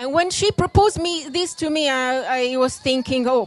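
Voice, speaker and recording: Delivered with lively intonation in an Italian accent, the speech comes over noticeable background noise. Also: woman. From Italy, Rome. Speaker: classical dancer. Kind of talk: lecture demonstration. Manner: halting.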